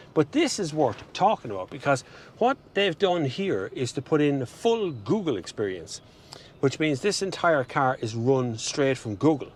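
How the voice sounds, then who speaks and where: A man with an Irish accent speaks at a fairly high pitch. His voice makes very wide pitch swings. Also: moderate pace. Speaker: car reviewer. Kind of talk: car review walkaround. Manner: animated.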